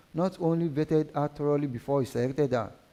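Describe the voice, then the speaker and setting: This man has a dark, mellow tone and a fairly high pitch. He talks at a fairly quick pace with ordinary pitch variation. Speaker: marathon reader. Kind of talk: reading aloud. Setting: live stream reading event. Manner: halting, frequent stumbles and self-corrections.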